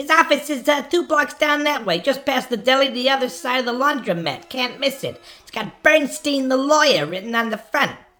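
A woman puts on a character voice. It sits at a high pitch and moves at a moderate pace. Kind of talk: improvised film noir radio play. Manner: chatty, brash, evasive.

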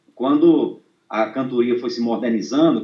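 The man speaks at a fairly slow pace, his pitch varying in an ordinary way. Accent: northeastern Brazilian. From Brazil, Northeast (Rio Grande do Norte). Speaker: accordion student and viola poet-singer. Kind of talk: interview. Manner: halting.

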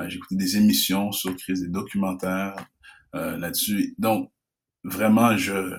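Very slowly and in a monotone, flat intonation, a man speaks at a fairly low pitch. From Quebec, Canada (Haitian family). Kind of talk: casual interview.

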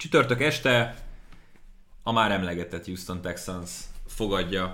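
Audible room echo surrounds a man with a bright, sharp tone and a fairly low pitch. He speaks at a fairly slow pace with ordinary pitch variation. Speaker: NFL podcast host and sports commentator. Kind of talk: casual sports podcast chat.

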